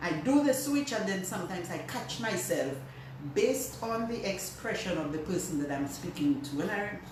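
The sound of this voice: Room echo can be heard. The intonation is lively. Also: woman, medium pitch for a woman, moderate pace.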